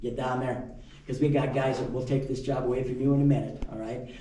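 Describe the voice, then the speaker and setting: At a fairly quick pace, the speech carries audible room echo over light background noise. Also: man. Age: 70s. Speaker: mine tour guide. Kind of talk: guided tour talk. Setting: underground mine with tour group. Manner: casual, conversational. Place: tunnel cave. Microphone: camera far.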